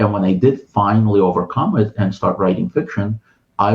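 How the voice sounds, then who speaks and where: At a moderate tempo, the speaker sounds somewhat breathy. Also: man. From Ukraine. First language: Russian. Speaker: writer and translator. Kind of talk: interview conversation. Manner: hesitant, many fillers and restarts.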